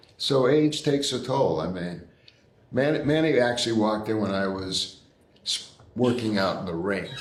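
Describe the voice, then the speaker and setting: A man speaks with lively intonation in a room with audible echo and noticeable background noise. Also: medium pitch for a man, moderate pace. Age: 80s+. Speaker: boxing trainer. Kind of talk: interview.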